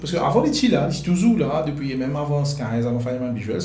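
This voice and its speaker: A man speaks with a fairly high pitch and ordinary pitch variation. Audible room echo surrounds the voice. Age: 30s. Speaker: photographer and videographer. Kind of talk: interview. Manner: halting.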